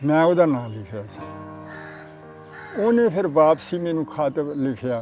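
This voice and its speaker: A man's fairly high voice with lively intonation and big swings in loudness, music in the background. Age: 80s+. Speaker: partition eyewitness. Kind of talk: interview storytelling.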